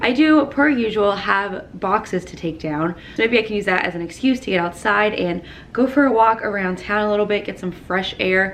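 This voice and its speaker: Amid noticeable background noise, a woman speaks in an upbeat tone at a medium pitch. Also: ordinary pitch variation, moderate pace. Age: 20s. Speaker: lifestyle vlogger. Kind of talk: casual vlog talk to camera. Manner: chatty, upbeat.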